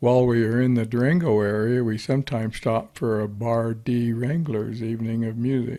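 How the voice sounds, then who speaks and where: A man at a moderate pace, medium in pitch, with a dark, mellow tone and fairly even intonation. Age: 70s. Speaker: retired storyteller, motorcycle enthusiast. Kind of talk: personal storytelling narration.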